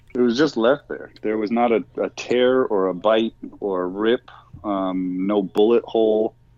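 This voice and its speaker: Spoken in an ordinary speaking voice with an American accent, the delivery is fairly slow and the intonation fairly even. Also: man, fairly low pitch for a man. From Lake Tahoe / Truckee area, California. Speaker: Bigfoot field researcher, former ghost hunter. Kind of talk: casual interview chat.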